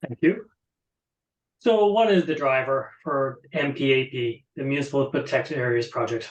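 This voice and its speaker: A man with an Irish accent, fairly high pitch, lively intonation and a moderate pace. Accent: Irish, drops th sounds. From Ireland. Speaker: conservation project presenter. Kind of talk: webinar presentation. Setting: online webinar.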